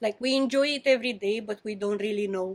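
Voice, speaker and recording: Music plays in the background as a woman speaks with a non-native accent. Her pitch is fairly high and her intonation fairly even. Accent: foreign. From Romania. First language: Romanian. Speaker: pastry chef. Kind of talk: interview. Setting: in a bakery.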